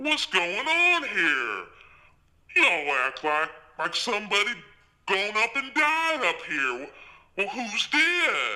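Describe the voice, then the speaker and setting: A put-on character voice, fairly high in pitch, with very wide pitch swings, a fairly slow pace and long, frequent pauses. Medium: read story. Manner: folksy, drawling.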